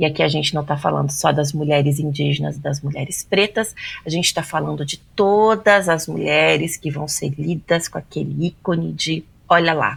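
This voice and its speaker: A woman speaks with vocal fry at a very deep, low pitch. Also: ordinary pitch variation, moderate pace. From Brazil. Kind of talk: podcast interview.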